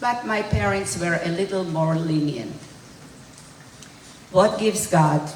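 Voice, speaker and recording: In a recording with audible room echo and noticeable background noise, a woman talks at a fairly slow pace with a fairly low pitch. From Hungary, later Israel. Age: 80s+. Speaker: Holocaust survivor. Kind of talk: testimony. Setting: school event with student audience.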